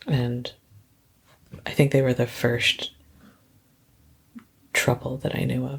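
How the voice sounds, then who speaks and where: Speaking very slowly with long, frequent pauses, a woman has a very deep, low pitch, a monotone, flat delivery and a soothing, relaxed tone. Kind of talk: podcast interview answer.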